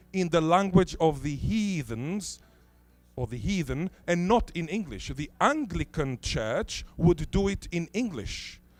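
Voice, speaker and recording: A man speaks in a high pitch with lively intonation. He goes at a fairly slow pace while music plays behind him. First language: Hebrew (Israeli). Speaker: linguist. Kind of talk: conference talk.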